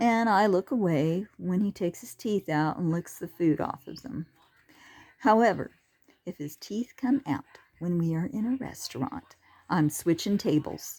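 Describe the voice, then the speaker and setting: The speaker has a dark, mellow tone, lively intonation and big swings in loudness. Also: woman, medium pitch for a woman. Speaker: humorist telling personal stories. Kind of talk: comic storytelling monologue. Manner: slow.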